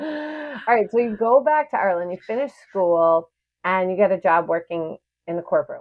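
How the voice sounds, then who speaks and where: Her pitch swings very widely around a medium level. The woman keeps a moderate pace. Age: 30s. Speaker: podcast host. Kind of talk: casual interview. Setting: online call. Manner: animated.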